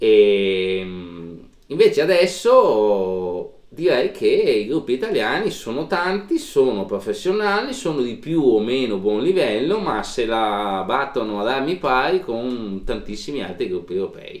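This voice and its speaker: Noticeable background noise sits behind a man at medium pitch. He speaks at a fairly slow pace, his pitch swinging very widely. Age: middle-aged. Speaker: podcast co-host. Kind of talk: casual chat.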